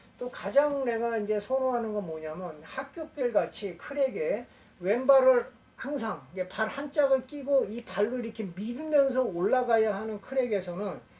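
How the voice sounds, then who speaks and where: The delivery unfolds fairly slowly, with noticeable noise in the background. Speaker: rock climbing instructor. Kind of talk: tutorial.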